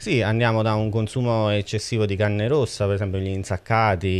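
A man's voice with fairly even intonation. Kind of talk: interview answer. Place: studio. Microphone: handheld.

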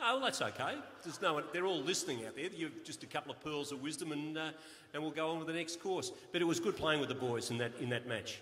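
A man with an Australian accent and a fairly high voice, talking very fast over light background noise. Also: ordinary pitch variation. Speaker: master of ceremonies. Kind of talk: awards night interview. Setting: stage with audience. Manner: jovial. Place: hall. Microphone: handheld.

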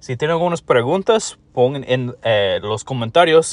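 A man with a non-native accent, speaking fairly slowly, with lively intonation. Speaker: mobile game YouTuber. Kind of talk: tutorial. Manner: halting, with fillers.

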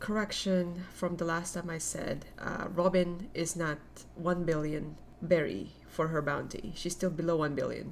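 A woman's fairly low voice at a fairly slow pace, over light background noise. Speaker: anime reaction youtuber. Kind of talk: casual vlog chat. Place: home room. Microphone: webcam.

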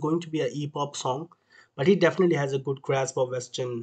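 A man's somewhat breathy, medium-pitched voice at a moderate pace, with fairly even intonation. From India. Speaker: reaction youtuber. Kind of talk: casual reaction commentary.

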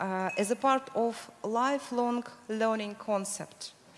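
Over light background noise, a woman with a Russian accent talks at a fairly high pitch with ordinary pitch variation. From Russia, Moscow. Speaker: education program manager; panelist. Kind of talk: panel discussion. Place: hall. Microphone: handheld.

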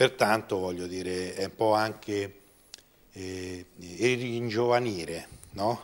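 Very slow speech from a man, with fairly even intonation, big swings in loudness and long, frequent pauses. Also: fairly low pitch for a man. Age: 50s. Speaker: amateur football club director; guest. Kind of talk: interview; interview answer. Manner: halting. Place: studio. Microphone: lapel.

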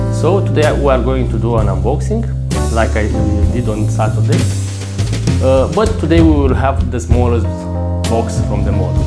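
A man with a non-native accent at a moderate pace, with long, frequent pauses and loud music in the background. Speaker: model car collector. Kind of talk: casual talk to camera. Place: home room. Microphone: lapel.

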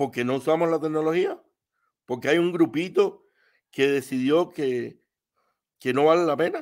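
Speaking with a fairly high pitch and fairly even intonation, a man leaves long, frequent pauses on a very clean recording with a silent background. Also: fairly slow pace. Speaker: live stream call-in participant. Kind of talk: casual political discussion.

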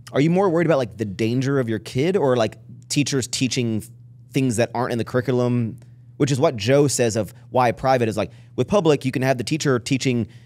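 On a very clean recording with a silent background, a man with an unremarkable speaking voice talks at a fairly quick pace, medium pitch and ordinary pitch variation. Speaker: podcast host. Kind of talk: casual chat. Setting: studio.

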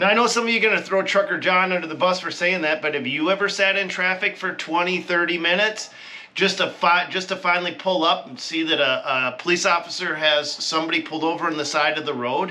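A man speaks at a very fast pace in a high pitch. His intonation is fairly even. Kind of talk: casual vlog commentary. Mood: mildly exasperated rant. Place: home room. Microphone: camera far.

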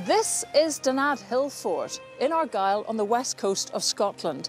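A fairly slow pace with music in the background. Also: woman. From Scotland. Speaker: journalist. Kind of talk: documentary narration.

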